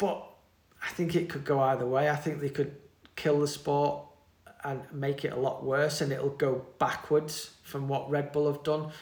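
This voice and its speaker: A man with a British accent, fairly high pitch, somewhat breathy voice, moderate pace and monotone, flat intonation. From UK. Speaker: mountain bike team manager. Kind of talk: interview. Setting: in person.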